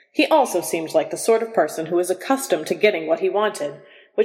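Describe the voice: Lively intonation marks the delivery. The text is plain reading aloud.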